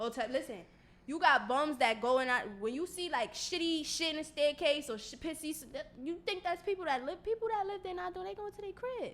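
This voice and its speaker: A woman with a New York accent at an extremely high pitch, fairly quick pace, very wide pitch swings and big swings in loudness, amid noticeable background noise. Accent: New York City. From Brooklyn, New York (Bed-Stuy). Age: 20s. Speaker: rapper. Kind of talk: casual chat.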